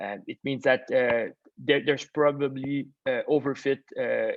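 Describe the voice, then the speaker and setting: A man speaks with a Quebec accent. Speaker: machine learning expert. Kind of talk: webinar Q&A. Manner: halting, many fillers.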